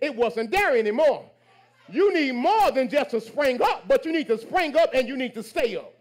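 An animated man with extremely high pitch, lively intonation, and a moderate pace. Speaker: pastor. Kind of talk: call-and-response Pentecostal-style sermon exhorting congregation. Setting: church with live congregation. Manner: rhythmic, exhortative preaching with repeated hallelujahs and amens; animated, building to shouted praise.

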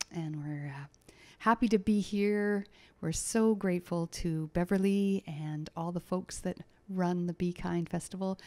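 This woman has a dark, mellow tone, speaking at a moderate pace with ordinary pitch variation. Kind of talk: stage introduction. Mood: warm, grateful. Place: hall. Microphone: studio mic.

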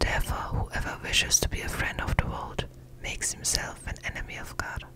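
At a moderate pace, someone speaks in a whisper. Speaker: ASMR Bible reader. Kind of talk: ASMR Bible reading. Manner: whispered, close-up. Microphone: studio mic.

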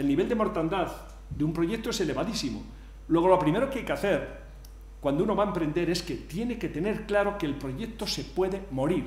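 Audible room echo surrounds a man's voice. He talks at a fairly quick pace with a high pitch. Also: lively intonation. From Spain. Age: 60s. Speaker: engineer and entrepreneur; conference speaker. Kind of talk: conference talk. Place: hall. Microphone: podium.

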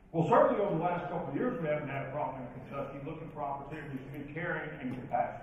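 Speaking at a very fast pace, a man with a fairly high pitch uses ordinary pitch variation amid strong room echo and light background noise. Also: hardly any pauses. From western Kentucky (Princeton, Caldwell County). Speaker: professional speaker and leadership trainer. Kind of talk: keynote speech. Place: hall.

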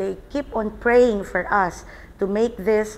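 At a fairly slow pace, a woman speaks in a Filipino accent with fairly even intonation. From Philippines. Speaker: salon owner and nurse. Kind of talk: interview. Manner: halting. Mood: earnest, reflective. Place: home room. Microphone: lapel.

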